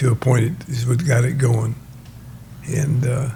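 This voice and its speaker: This man talks at a fairly slow pace and medium pitch with ordinary pitch variation, over noticeable background noise. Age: 80s+. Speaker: race engine builder. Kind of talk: interview answer.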